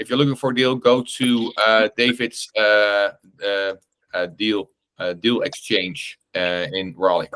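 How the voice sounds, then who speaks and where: With a Dutch accent, a man speaks at a fairly slow pace in a fairly low pitch with a bright, sharp tone. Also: ordinary pitch variation, dry, close sound with no echo. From Netherlands, Amsterdam. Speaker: real estate investor and meetup host. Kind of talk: online group meeting Q&A. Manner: halting, many fillers and repetitions.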